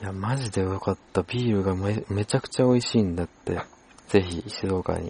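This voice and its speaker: A man's fairly low, somewhat breathy voice with a dark, mellow tone, fairly even intonation and a moderate pace. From Japan, Shizuoka. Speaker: podcast host. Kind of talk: casual chat.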